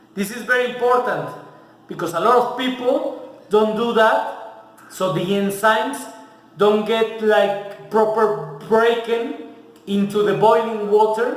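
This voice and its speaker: A man speaks at a high pitch and very slow pace with fairly even intonation. Audible room echo and noticeable background noise surround his voice. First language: Spanish. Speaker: home cook, video host. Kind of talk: cooking tutorial. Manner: casual, mixing English and Spanish.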